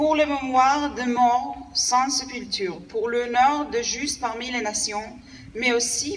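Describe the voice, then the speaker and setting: A woman talks at a very slow pace in a high voice with ordinary pitch variation. The recording carries noticeable background noise and audible room echo. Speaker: diplomat. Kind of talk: formal ceremonial speech. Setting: commemoration ceremony with audience.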